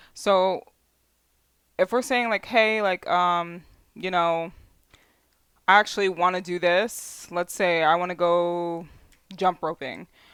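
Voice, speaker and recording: In a very clean recording with a silent background, a woman with a fairly low pitch speaks with long, frequent pauses. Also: ordinary pitch variation. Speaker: tarot card reader. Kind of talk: tarot reading. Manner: halting; casual, filler-heavy.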